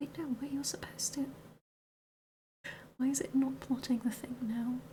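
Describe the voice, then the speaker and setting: At a moderate pace, the speaker talks in a soft-spoken way. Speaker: streamer. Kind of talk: ASMR soft-spoken work session.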